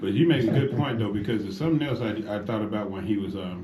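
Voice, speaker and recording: Talking at a very fast pace, a man with a fairly low pitch uses lively intonation amid audible room echo. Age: 50s. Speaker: radio host. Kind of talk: talk radio discussion. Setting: radio studio. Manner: animated.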